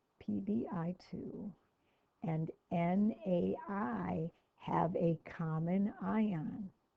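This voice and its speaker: A woman talks at a very slow pace in a fairly low, somewhat breathy voice with lively intonation. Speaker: chemistry teacher. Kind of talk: lecture. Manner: casual.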